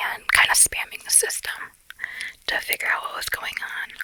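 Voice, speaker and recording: A woman is speaking. She whispers throughout. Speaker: ASMR content creator. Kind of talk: casual talk to camera. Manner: chatty, conversational, chewing gum.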